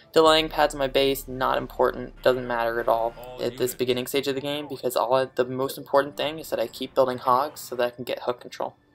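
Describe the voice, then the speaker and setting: A man talks at a very fast pace with hardly any pauses, his medium-pitched voice delivered in a monotone, flat intonation. Music plays in the background. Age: young. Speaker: gaming commentator. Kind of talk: gameplay commentary. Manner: quiet, not loud; even standard tone, not extravagant.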